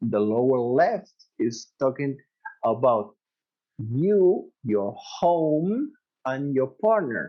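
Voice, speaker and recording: A man with a Spanish accent speaks at a medium pitch with lively intonation. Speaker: dentist and professor. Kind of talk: interview. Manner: halting.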